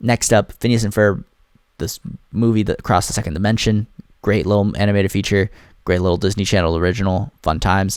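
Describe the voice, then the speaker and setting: This man talks at a very fast pace with a fairly low pitch. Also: very clean recording, silent background. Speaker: movie reviewer. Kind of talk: casual monologue ranking movies. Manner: animated.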